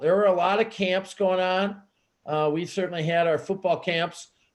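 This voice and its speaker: A man at a high pitch and a moderate pace. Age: 60s. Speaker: high school football coach and activities director. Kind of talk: interview. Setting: video call. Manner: halting, repeats words.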